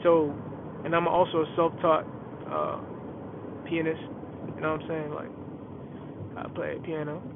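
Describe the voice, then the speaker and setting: Speaking very slowly with an American accent, a man keeps a monotone, flat intonation at a fairly high pitch over noticeable background noise. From New York, Bronx. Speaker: aspiring rapper and podcaster. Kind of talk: casual solo podcast monologue. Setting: in a car. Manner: laid-back.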